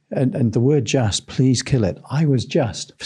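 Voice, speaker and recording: A somewhat breathy man's voice, dark and mellow, at a fairly quick pace with ordinary pitch variation against a quiet background. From England. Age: 60s. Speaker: sales trainer. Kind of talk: interview.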